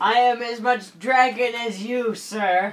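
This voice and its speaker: Someone in a put-on character voice speaks at a fairly high pitch and a fairly slow pace. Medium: actual play. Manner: indignant, haughty.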